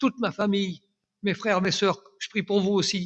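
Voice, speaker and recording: The man speaks with a high pitch. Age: 80s+. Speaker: church elder giving testimony. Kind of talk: testimony. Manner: halting, repeats words.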